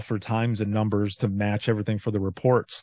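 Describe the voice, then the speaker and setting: An unremarkable speaking voice from a man of medium pitch at a moderate pace, dry and close with no echo over a quiet background. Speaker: former 911 dispatcher and author. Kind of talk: casual interview.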